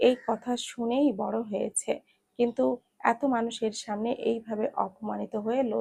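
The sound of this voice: An unforced reading voice with ordinary pitch variation in a quiet background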